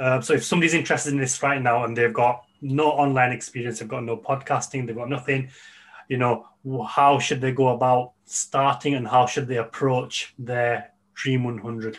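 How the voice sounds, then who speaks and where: Speaking at a moderate pace, a man holds a medium pitch with monotone, flat intonation. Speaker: podcast host. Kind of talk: podcast interview.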